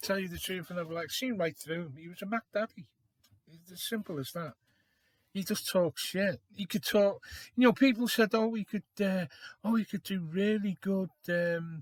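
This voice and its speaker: A man's high-pitched voice with a British accent, moderate pace and ordinary pitch variation, big swings in loudness, dry and close with no echo, on a very clean recording with a silent background. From Liverpool, England. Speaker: vlogger. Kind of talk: casual opinion monologue. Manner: hesitant, many fillers.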